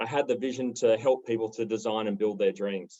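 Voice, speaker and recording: Someone with an Australian accent talks at a fairly quick pace in a dark, mellow tone with monotone, flat intonation. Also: man. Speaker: property developer. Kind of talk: panel discussion.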